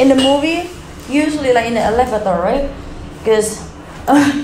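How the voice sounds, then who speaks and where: A woman talks at a moderate pace amid light background noise. Audible room echo surrounds her voice. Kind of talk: casual vlog chat. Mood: hushed, slightly spooked storytelling. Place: hall. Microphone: phone near.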